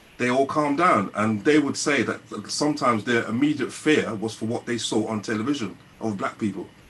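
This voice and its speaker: A man at medium pitch with ordinary pitch variation and a fairly quick pace, over noticeable background noise. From London, England. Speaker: musician. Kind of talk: panel discussion. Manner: animated.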